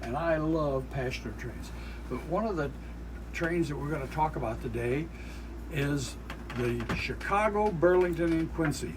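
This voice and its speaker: Over noticeable background noise, someone with an American accent speaks at a moderate pace with long, frequent pauses. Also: man. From Iowa, United States. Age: 70s. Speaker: railroad enthusiast and YouTube host. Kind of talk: casual interview answer. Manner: hesitant, many fillers.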